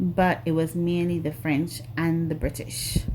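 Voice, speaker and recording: Here is a woman with a very deep, low voice. She speaks at a very slow pace. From Grenada, rural village. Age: 40s. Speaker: nail artist YouTuber. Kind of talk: casual chat. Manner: hesitant, many fillers.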